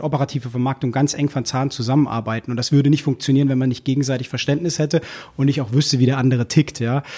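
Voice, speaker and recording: A man's somewhat breathy, dark and mellow voice at a very fast pace, on a very clean recording with a silent background. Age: 30s. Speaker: key account manager at a newspaper. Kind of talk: casual interview.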